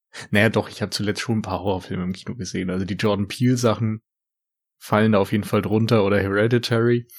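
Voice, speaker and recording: A man speaks at a very fast pace in a fairly low pitch. His intonation is flat and monotone. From rural Germany. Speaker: film podcaster. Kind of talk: casual chat. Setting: remote call.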